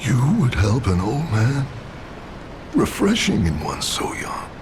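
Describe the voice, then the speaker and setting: A man puts on a character voice at a medium pitch. He talks at a fairly slow pace over loud background noise. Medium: video game. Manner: boastful, gruff.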